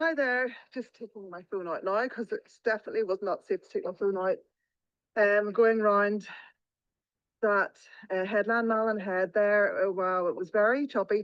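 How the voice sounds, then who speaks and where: This woman speaks with an Irish accent. Her pitch varies in an ordinary way. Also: medium pitch for a woman, moderate pace. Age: 50s. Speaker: paddleboarder vlogger. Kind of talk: on-the-spot vlog narration. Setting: outdoors on the sea.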